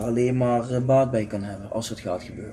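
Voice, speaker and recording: Speaking at a fairly quick pace, the man keeps a monotone, flat intonation. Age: 40s. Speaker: podcast co-host, football fan. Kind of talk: casual chat.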